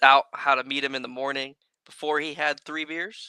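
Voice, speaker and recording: A man with an American accent has a bright, sharp tone and a fairly high pitch. His intonation is flat and monotone, in a dry, close sound with no echo. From San Diego, California. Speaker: RC racing industry figure. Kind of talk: casual podcast chat.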